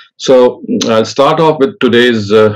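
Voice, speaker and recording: Ordinary pitch variation and a moderate pace mark a man's speech against a quiet background. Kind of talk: lecture. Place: home room. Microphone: lapel.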